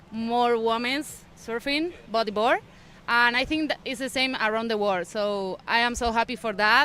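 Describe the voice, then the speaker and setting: In an Argentine accent, a woman speaks fairly slowly with a fairly high pitch and a bright, sharp tone, recorded very cleanly against a silent background. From Argentina. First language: Spanish. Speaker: bodyboarder and lifeguard. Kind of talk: interview. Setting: live event broadcast. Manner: halting.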